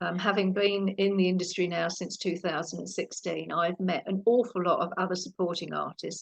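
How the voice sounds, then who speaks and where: In a British accent, a woman speaks with vocal fry at a moderate pace, her intonation monotone and flat, with hardly any pauses. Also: medium pitch for a woman. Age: 60s. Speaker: actress and former police officer. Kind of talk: interview.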